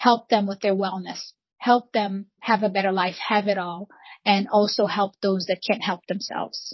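A woman speaks in a somewhat breathy voice. Her intonation stays monotone and flat. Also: medium pitch for a woman, moderate pace. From Brazil, Rio de Janeiro. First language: Portuguese. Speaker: real estate broker. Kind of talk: interview.

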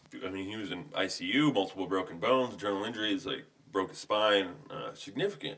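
A man mumbles at a fairly quick pace, with ordinary pitch variation. His loudness swings widely. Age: 30s. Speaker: podcast guest, friend of host. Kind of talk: casual chat. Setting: home studio. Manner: varies between mumbling and boisterous.

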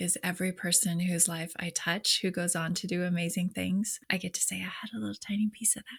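A woman talks at a fairly quick pace, with hardly any pauses. Her fairly low voice carries vocal fry and ordinary pitch variation. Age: 40s. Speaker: leadership coach. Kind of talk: casual chat.

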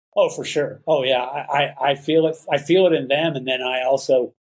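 The speaker has a Texan accent. The pace is moderate and the intonation fairly even. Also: man. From Texas, Dallas Fort Worth area. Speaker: photojournalist and artist. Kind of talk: interview.

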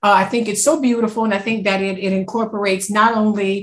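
A woman speaks at a fairly quick pace with a Louisiana accent. Her pitch is medium and her voice is somewhat breathy. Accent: US South, Louisiana. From Louisiana, Wallace. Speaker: podcast co-host, museum marketing director. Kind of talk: interview.

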